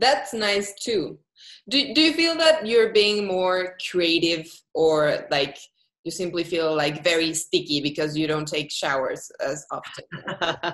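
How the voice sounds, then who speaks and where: A woman's very slow speech in a Spanish accent, fairly low in pitch, with lively intonation. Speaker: interviewer. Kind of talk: interview.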